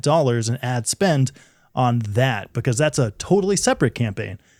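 Recorded very cleanly with a silent background, a man speaks at a medium pitch in a plain, everyday voice. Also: dry, close sound with no echo. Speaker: podcast co-host. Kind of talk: casual chat, podcast discussion. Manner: joking, playful.

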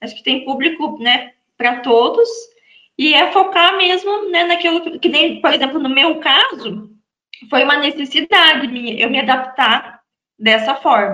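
Raising and projecting her high voice, a woman speaks at a fairly slow pace with lively intonation. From Brazil, Santa Catarina. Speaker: real estate lawyer. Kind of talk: interview guest.

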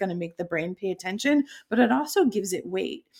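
A woman's plain, everyday voice at a fairly quick pace, with lively intonation. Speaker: keynote speaker and storytelling author. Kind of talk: podcast interview. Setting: video call.

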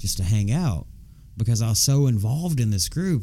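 A man with a Southern US accent, a dark, mellow tone, medium pitch, lively intonation and a very fast pace. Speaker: podcast co-host. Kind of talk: casual chat. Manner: loud; animated.

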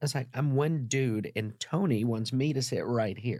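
Here a man speaks in a somewhat breathy voice. His pitch varies in an ordinary way. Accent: American. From US South. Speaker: wellness company founder and philanthropist. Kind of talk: casual interview with storytelling. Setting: studio. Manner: preachy, emphatic.

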